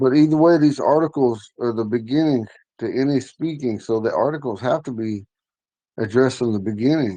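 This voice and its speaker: A dark, mellow tone at a fairly quick pace with ordinary pitch variation. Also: man, medium pitch for a man. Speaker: language teacher. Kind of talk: online language class. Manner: casual, conversational.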